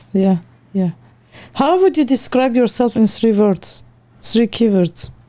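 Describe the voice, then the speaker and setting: Her tone dark and mellow yet her pitch fairly high, a woman speaks at a fairly slow pace with very even loudness. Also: lively intonation. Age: 40s. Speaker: interviewer. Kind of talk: interview.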